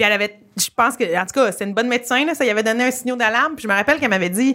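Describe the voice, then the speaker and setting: A woman speaks with a Quebec accent. Her pace is very fast. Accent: Québécois French. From Quebec, rural. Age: 30s. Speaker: comedian. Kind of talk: casual chat. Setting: comedy club. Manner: animated.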